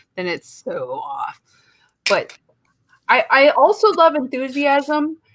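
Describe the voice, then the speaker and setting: A woman talks in an animated tone. She speaks with a Midwestern accent. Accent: Midwest. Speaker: podcast co-host. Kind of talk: casual chat.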